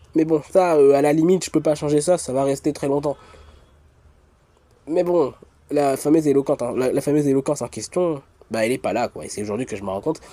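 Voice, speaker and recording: A man with a dark, mellow tone talks at a fairly quick pace, broken by long, frequent pauses. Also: fairly high pitch for a man, ordinary pitch variation. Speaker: YouTuber. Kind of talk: casual monologue. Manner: fast; talkative, rambling casual monologue.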